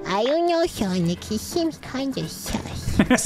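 Loud music plays behind a put-on character voice pitched fairly high. The lines come at a fairly slow pace. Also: female-sounding voice. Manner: whiny, pleading.

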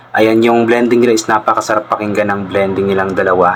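With noticeable background noise behind him, a man speaks at a fairly low pitch in a monotone, flat intonation. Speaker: reaction video vlogger. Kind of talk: casual reaction commentary. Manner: polite, uses po.

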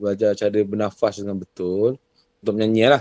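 A man speaks at a fairly quick pace in a fairly low pitch, his dark, mellow tone sounding dry with no echo against a quiet background. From Johor, Malaysia. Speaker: singer and vocal coach; vocal coach guest. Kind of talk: casual interview chat. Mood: relaxed, storytelling. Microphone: video call.

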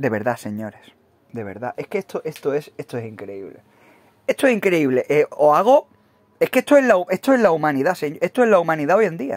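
Recorded dry and close with no echo, a man speaks at a fairly quick pace and fairly high pitch, with very wide pitch swings and big swings in loudness. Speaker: gaming YouTuber. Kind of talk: mocking video commentary rant. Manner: animated.

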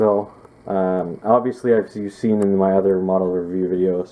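A man's very deep, low voice with a dark, mellow tone and flat, monotone intonation. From Canada. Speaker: scale model reviewer and airport worker. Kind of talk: casual video review. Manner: casual, with many filler words. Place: home room. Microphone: phone near.

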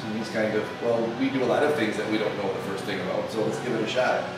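A man talks fast, with clear background noise behind him. His voice carries audible room echo.

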